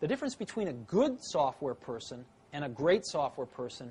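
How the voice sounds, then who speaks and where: Lively intonation marks a somewhat breathy voice that moves at a moderate pace. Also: man. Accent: American. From San Francisco Bay Area, USA. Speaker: tech entrepreneur. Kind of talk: interview answer.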